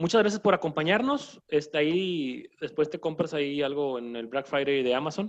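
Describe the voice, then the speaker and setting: A man's fairly high voice at a moderate pace, with ordinary pitch variation, hardly any pauses, and a plain, everyday voice. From Mexico, northern border region. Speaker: doctor and podcast host. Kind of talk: casual chat.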